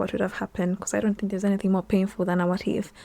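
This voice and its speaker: Her voice sits at a medium pitch for a woman, with a dark, mellow tone and fairly even intonation. The recording is very clean, with a silent background. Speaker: content creator and video editor. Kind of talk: casual talking-head vlog. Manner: candid, conversational.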